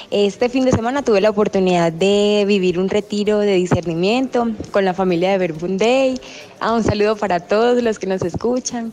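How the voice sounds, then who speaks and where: A woman talks at a medium pitch while noticeable background noise fills the recording. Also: ordinary pitch variation, moderate pace. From Colombia, Cáceres (Antioquia). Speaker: retreat participant, trained preschool teacher. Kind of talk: testimony. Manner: halting, with many fillers.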